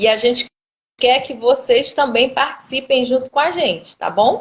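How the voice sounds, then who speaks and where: A woman speaks. Her voice sits high in pitch. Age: 30s. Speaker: law student and live host. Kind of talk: casual live stream chat. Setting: Instagram live video.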